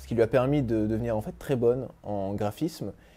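A man talks at a moderate pace in a dark, mellow tone. His pitch varies in an ordinary way. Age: 20s. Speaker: documentary filmmaker, engineer. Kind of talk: interview monologue. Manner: hesitant, many filler sounds. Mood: warm, moved in places. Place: home room.

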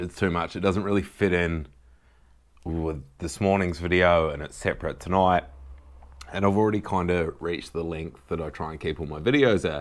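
Against a quiet background, a man with a very deep, low voice speaks with ordinary pitch variation. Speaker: vlogger. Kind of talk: casual vlog chat. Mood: earnest, emotional. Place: home room. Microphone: camera far.

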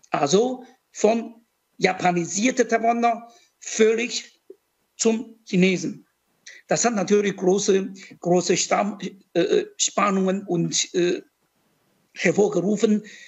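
The speech is very slow, with long, frequent pauses. Pitch varies in an ordinary way against a quiet background. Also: man, high pitch for a man. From Taiwan. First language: Mandarin Chinese (speaking German). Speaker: diplomat and professor; professor. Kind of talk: panel discussion. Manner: halting, many repetitions and fillers. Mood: reflective, personal storytelling. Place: office. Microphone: video call.

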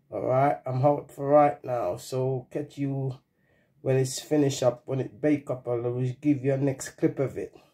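In a quiet background, a man speaks fairly slowly in a somewhat breathy, dark, mellow voice with monotone, flat intonation. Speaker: home cook vlogger. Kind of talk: casual vlog chat. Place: kitchen. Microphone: phone near.

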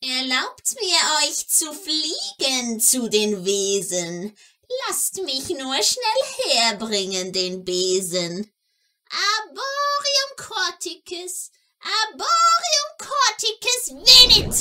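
A woman's put-on character voice, extremely high-pitched, sing-song and very slow. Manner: sing-song rhyming, mysterious.

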